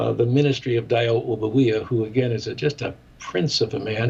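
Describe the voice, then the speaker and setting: With an American accent, a man speaks at a moderate pace with fairly even intonation and vocal fry. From US Midwest, Chicago. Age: 70s. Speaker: ministry director and former radio broadcaster. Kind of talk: interview.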